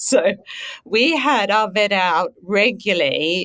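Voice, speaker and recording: The speaker is a woman. Her accent is Australian. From rural Australia. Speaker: veterinary scientist. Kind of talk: casual interview.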